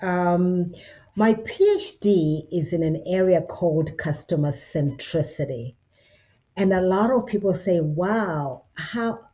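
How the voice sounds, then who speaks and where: A woman's medium-pitched, somewhat breathy voice with a dark, mellow tone. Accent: Zimbabwean. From Zimbabwe. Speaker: business consultant with a doctorate. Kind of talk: interview.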